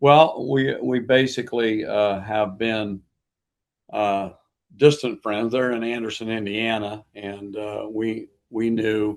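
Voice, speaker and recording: With an American accent, a man of medium pitch speaks at a very slow pace and with fairly even intonation. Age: 70s. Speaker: pastor. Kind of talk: interview.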